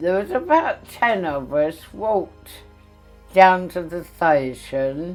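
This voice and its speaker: Music plays behind a woman with a London accent. She speaks at a very slow pace, at a fairly low pitch, with lively intonation. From London, England. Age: 80s+. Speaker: war evacuee eyewitness. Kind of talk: interview testimony.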